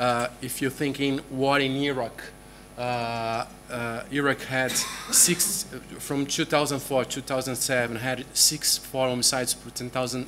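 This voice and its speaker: Against noticeable background noise, a man talks at a medium pitch and fairly slow pace with fairly even intonation. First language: Portuguese. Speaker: journalist and researcher. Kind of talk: conference presentation. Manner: halting, many fillers.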